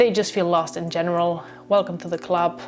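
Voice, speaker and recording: A woman talks while noticeable background noise can be heard. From Spain. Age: 20s. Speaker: social media content creator. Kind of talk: personal vlog monologue. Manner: casual, hesitant with many fillers.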